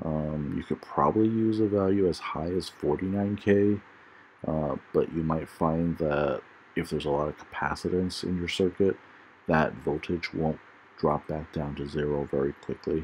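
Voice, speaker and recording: A man speaks with a very deep, low pitch and ordinary pitch variation. His pace is moderate. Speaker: electronics tutorial maker. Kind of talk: tutorial. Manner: hesitant, many fillers.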